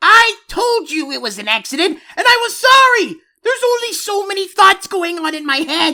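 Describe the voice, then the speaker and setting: In a put-on character voice with extremely high pitch, the speaker goes at a moderate pace with hardly any pauses. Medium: read story. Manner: loud, childish, excitable.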